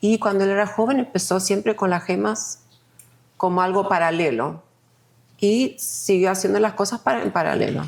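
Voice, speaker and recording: Speaking with an Argentine accent, a woman uses a medium pitch, lively intonation and some vocal fry. Her pace is moderate and her loudness stays very even. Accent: sounds Argentine in Spanish. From Sweden. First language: Swedish (speaking Spanish). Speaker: multidisciplinary artist. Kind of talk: podcast interview.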